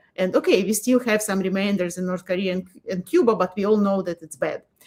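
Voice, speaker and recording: A woman with a medium pitch speaks in a Russian accent. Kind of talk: casual interview chat.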